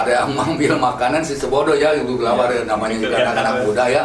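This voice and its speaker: There is noticeable background noise. Through it, a man speaks at medium pitch. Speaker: eyewitness narrator of past events. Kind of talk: interview answer telling a personal anecdote.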